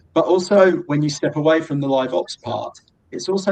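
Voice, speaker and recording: With a British accent, a man talks at a moderate pace and with ordinary pitch variation. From Britain. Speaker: drone software company representative. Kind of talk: webinar presentation.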